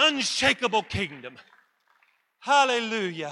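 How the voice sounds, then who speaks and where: A man projects his voice loudly. His tone is bright and sharp. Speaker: pastor. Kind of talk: sermon. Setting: church service with congregation. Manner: loud, exuberant preaching.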